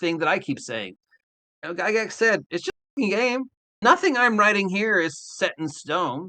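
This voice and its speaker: A man's raised, projected voice, animated and bright, sharp in tone, with long, frequent pauses. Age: 60s. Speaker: veteran tabletop game master. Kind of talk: interview.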